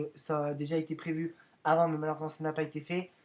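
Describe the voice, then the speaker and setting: Fairly high pitch and a fairly quick pace from a man. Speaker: YouTuber making video editing tutorials. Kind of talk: tutorial. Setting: screen recording voiceover. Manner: fast; hesitant, many fillers.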